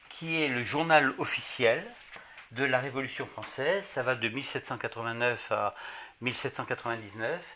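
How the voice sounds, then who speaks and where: Over noticeable background noise, a man speaks at a medium pitch and a fairly slow pace, with ordinary pitch variation and long, frequent pauses. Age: 60s. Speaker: retired banker, association president. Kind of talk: interview at home. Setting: at his home. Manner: hesitant, with fillers.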